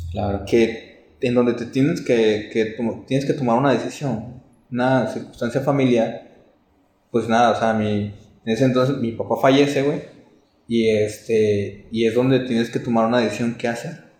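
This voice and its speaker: A man at a medium pitch with fairly even intonation, in a room with audible echo. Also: moderate pace. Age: 20s. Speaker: film producer. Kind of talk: interview. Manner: halting.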